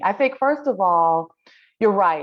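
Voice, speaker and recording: The voice moves at a moderate pace, its pitch swinging very widely. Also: woman. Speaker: yoga teacher. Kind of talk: interview answer.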